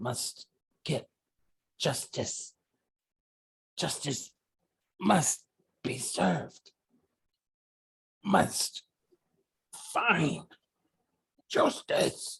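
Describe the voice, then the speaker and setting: A put-on character voice, raspy and at middle pitch, moves at a very slow pace. Long pauses come often. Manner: pleading, repeating a demand for justice.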